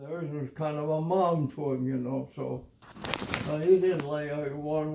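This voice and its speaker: With an American accent, a man speaks at a fairly slow pace and a fairly high pitch. His intonation is fairly even, and there is noticeable background noise. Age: 80s+. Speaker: war veteran. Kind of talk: casual storytelling.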